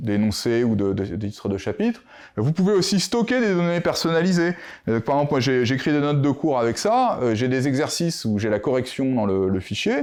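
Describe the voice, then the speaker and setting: The pitch moves in very wide swings. The pace is moderate. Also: man. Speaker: mathematician, conference speaker. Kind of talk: conference talk. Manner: hesitant, many fillers.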